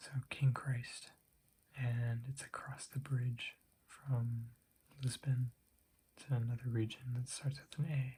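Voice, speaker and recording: A soft-spoken voice with a dark, mellow tone and a somewhat breathy quality. It moves at a very slow pace with monotone, flat intonation. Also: man. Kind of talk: ASMR show and tell.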